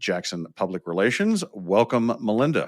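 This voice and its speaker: Recorded very cleanly with a silent background and a dry, close sound with no echo, a man with an American accent speaks at a moderate pace. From Oklahoma. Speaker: podcast host, business owner. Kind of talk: podcast interview. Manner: casual, joking.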